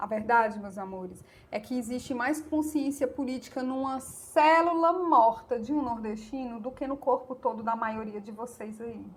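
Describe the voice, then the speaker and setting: In a northeastern Brazilian accent, a woman with a high pitch and ordinary variation talks at a moderate pace with hardly any pauses and big swings in loudness. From Brazilian Northeast. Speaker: YouTuber, political commentator. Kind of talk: opinion monologue to camera. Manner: animated.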